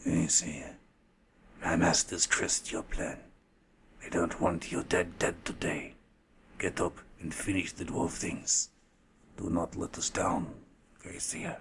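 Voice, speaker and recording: Using a put-on character voice, a man speaks at a very deep, low pitch with hissing, monotone, flat intonation, a fairly slow pace and long, frequent pauses. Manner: grim, menacing.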